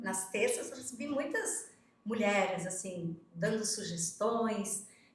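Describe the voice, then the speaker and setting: A woman at a very slow pace with ordinary pitch variation, plus audible room echo and noticeable background noise. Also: fairly high pitch for a woman. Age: 60s. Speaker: vice mayor. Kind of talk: casual interview.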